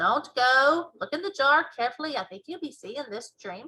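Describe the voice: A woman puts on a character voice, pitched high with a bright, sharp tone and a slightly husky edge. Her intonation is lively. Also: moderate pace.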